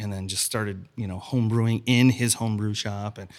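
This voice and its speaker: This is an unremarkable speaking voice, moving at a fairly quick pace with fairly even intonation. The recording is very clean, with a silent background. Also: man. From Chicago. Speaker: restaurant owner. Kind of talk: casual chat.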